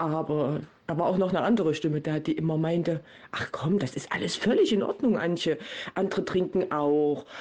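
A woman with an unremarkable speaking voice talks at a moderate pace, fairly low in pitch with ordinary pitch variation. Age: 40s. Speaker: volunteer addiction recovery guide. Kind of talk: interview.

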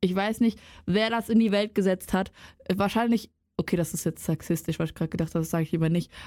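A woman speaks at a very fast pace. Her voice has a medium pitch and a dark, mellow tone. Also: ordinary pitch variation. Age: 20s. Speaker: student podcaster. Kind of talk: casual chat.

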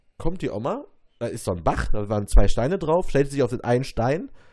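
A man's dark, mellow voice at a fairly quick pace, with very wide pitch swings. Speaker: podcast co-host. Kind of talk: casual chat. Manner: loud.

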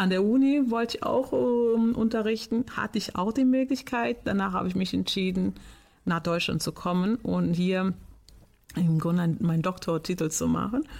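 A woman's somewhat breathy, medium-pitched voice with lively intonation and very even loudness, on a very clean recording with a silent background. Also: moderate pace. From Portugal. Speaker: teacher. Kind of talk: interview.

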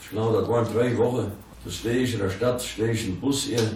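A man talks at a very fast pace amid noticeable background noise and audible room echo. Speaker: local dialect speaker. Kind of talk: anecdotal storytelling.

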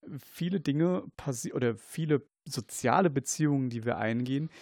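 At a fairly slow pace, a man talks at a medium pitch with ordinary pitch variation, the sound dry and close with no echo. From Germany, Kaiserslautern (Palatinate). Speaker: paramedic and researcher. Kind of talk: casual chat. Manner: halting.

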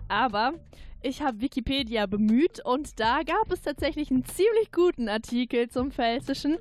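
At a moderate pace, a woman with a high pitch speaks with lively intonation, the sound dry and close with no echo. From Pfalz, Zweibrücken. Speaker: radio editor. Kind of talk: casual chat.

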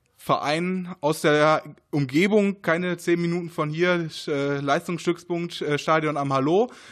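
A man's high-pitched voice at a fairly slow pace, fairly even in intonation, against a quiet background. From Ruhr area, Germany (Essen). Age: 20s. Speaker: race organizer and chemistry researcher. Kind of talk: interview. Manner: hesitant, many fillers.

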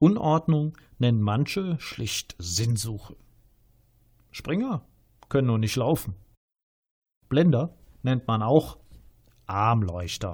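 A somewhat breathy man speaks at a very slow pace in a medium pitch, with very wide pitch swings and long, frequent pauses. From Rhineland, Germany. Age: 50s. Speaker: author. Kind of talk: reading aloud.

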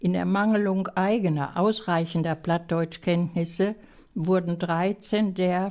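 A woman talks at a very slow pace in a dark, mellow tone. Her intonation is fairly even. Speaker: village association chairwoman. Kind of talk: reading prepared text aloud. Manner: formal.

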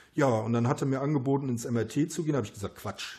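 Speaking at a very fast pace, a man has a dark, mellow, somewhat breathy tone and fairly even intonation. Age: 50s. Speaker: runner and self-published author. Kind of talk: casual interview. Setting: at his home after a run.

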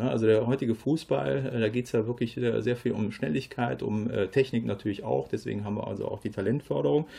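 A man with a dark, mellow tone and vocal fry speaks with lively intonation. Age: 50s. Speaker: football coach. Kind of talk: radio interview. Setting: studio.

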